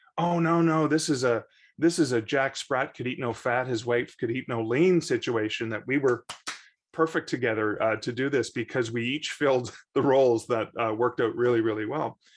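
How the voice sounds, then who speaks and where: With a Canadian accent, a man speaks at a medium pitch and ordinary pitch variation against a quiet background. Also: moderate pace. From Canada. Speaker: author and bookseller. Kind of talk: podcast interview. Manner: halting, many repeated words and fillers.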